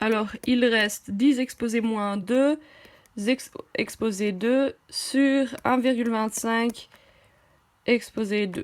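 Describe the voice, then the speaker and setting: This woman has a fairly high pitch and a slight German accent. She talks at a very slow pace, with long, frequent pauses. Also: fairly even intonation. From half German, half French. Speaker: math tutor, medical school applicant. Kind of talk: tutorial. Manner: halting, many hesitations.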